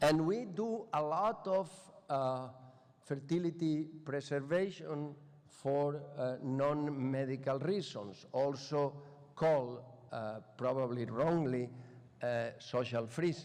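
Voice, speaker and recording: The speech moves at a very slow pace. Room echo is audible. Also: man, fairly high pitch for a man, ordinary pitch variation. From Spain. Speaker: professor. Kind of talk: lecture. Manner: halting.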